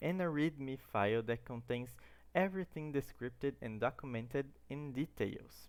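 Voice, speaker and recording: In a Brazilian Portuguese accent, a man speaks at medium pitch on a very clean recording with a silent background. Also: ordinary pitch variation, moderate pace. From Brazil, Santo André, São Paulo. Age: 20s. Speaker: student. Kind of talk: tutorial.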